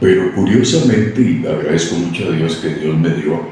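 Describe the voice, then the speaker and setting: In a room with audible echo and noticeable background noise, a man speaks at a moderate pace with a very deep, low pitch. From Costa Rica, San Isidro (rural). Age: 70s. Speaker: radio announcer and newsreader. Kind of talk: interview. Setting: radio station premises.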